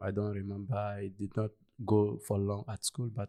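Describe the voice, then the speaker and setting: A man with a Malian accent speaks at a fairly slow pace, his fairly low voice dark and mellow. The recording is very clean with a silent background, the sound dry and close with no echo. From Ivory Coast. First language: Bambara. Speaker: refugee community leader. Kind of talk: interview. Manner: halting, many fillers.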